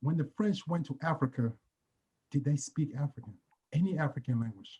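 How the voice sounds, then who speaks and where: A dark, mellow tone with a somewhat breathy edge. Pitch varies in an ordinary way, and the pace is moderate. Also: man. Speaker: athlete. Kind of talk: virtual panel discussion.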